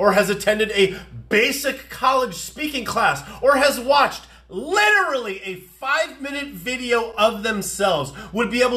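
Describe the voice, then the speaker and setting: Projecting a raised voice, a man speaks at an extremely high pitch with lively intonation. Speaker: comedy commentator. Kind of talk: political commentary rant to camera. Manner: fast, ranting, exasperated. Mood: sarcastic, exasperated. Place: home room. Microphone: phone near.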